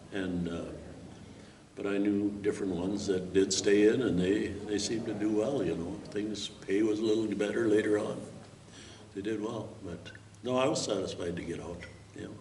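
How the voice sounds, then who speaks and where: A man with an American accent speaks at a moderate pace and fairly low pitch, with fairly even intonation and long, frequent pauses. Audible room echo and noticeable background noise fill the recording. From Minnesota. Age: 70s. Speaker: war veteran. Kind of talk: interview testimony. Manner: halting.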